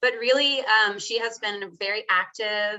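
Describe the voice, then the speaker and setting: An ordinary speaking voice with an American accent moves at a fairly slow pace. The intonation stays fairly even. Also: woman. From Texas. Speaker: legal documents specialist, former teacher. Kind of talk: webinar panel talk. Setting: online webinar.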